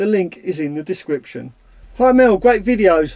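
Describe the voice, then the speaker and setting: A man with a Cockney accent has a dark, mellow tone. His intonation is lively. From London (Cockney). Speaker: van life YouTuber. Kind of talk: casual Q&A vlog.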